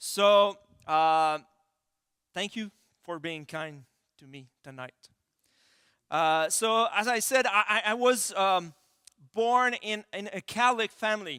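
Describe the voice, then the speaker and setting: With a Quebec accent, a man speaks in a raised, projected voice that is high and bright, sharp in tone, using lively intonation at a very slow pace with long, frequent pauses. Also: big swings in loudness, dry, close sound with no echo. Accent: French-Canadian accent in English. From Quebec City, Canada. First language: French. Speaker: pastor. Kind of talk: sermon. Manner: halting, many fillers.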